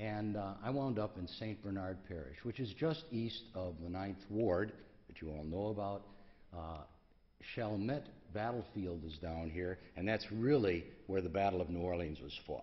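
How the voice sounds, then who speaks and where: A man speaks at a moderate pace in a fairly low voice with ordinary pitch variation, and audible room echo surrounds him. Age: 70s. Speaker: pediatric endocrinologist. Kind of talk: conference talk. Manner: halting, many fillers.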